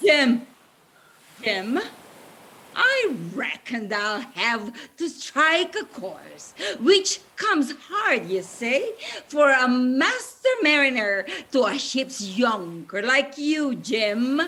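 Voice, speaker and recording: A female-sounding voice with a high pitch takes on a put-on character voice. The pace is very slow. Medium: stage play. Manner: sly, wheedling.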